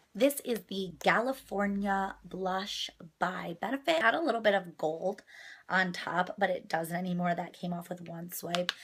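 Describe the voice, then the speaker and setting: This woman's voice is somewhat breathy and pitched in the medium range. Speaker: beauty vlogger. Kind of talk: makeup tutorial.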